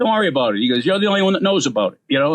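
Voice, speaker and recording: A man is speaking. He talks with a Boston accent. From Boston, US. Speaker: comedian. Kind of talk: casual chat. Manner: fast.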